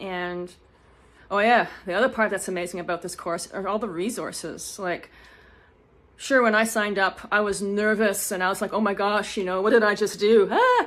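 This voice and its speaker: On a very clean recording with a silent background, a woman mumbles at a medium pitch. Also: fairly even intonation. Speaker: online course student and Etsy seller. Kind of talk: testimonial. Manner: fast; mumbling.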